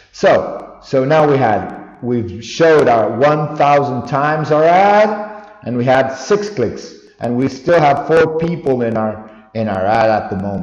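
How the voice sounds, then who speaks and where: A fairly high-pitched man at a fairly slow pace, lively intonation and noticeable background noise. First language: not English. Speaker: online store owner, tutorial vlogger. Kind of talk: screen-recorded tutorial. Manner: halting, self-correcting.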